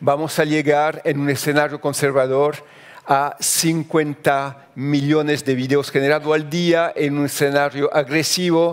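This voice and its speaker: At a fairly slow pace, a man speaks in a French accent with a fairly high pitch. His loudness is very even and his intonation monotone and flat. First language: French (speaking Spanish). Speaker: journalist. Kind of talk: conference talk. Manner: halting.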